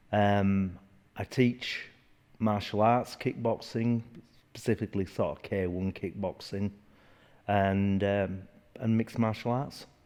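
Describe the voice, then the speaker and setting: A man with a Yorkshire accent talks at a fairly slow pace, with long, frequent pauses. His pitch is fairly low and his intonation fairly even. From northern England, Leeds, Yorkshire. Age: 60s. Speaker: martial arts instructor. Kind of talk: interview. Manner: halting.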